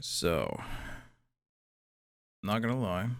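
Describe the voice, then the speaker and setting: A man's voice with vocal fry and lively intonation. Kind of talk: asmr roleplay talking. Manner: soft-spoken, casual.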